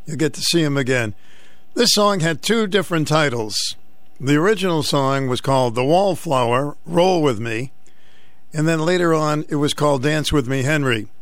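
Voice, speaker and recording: With an American accent, a man speaks in a plain, everyday voice at a moderate pace and a fairly high pitch. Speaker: radio talk show host. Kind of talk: call-in talk radio. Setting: studio. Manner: jovial, chatty.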